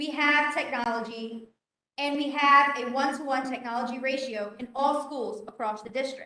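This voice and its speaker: A woman's high voice, raised and projected, comes through with a bright, sharp tone. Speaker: teacher. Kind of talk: presentation. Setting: board meeting. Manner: loud.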